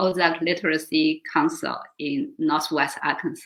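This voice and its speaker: A woman with a Chinese accent, speaking at a fairly slow pace with very wide pitch swings. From China. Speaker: volunteer organization board member. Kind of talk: interview. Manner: halting.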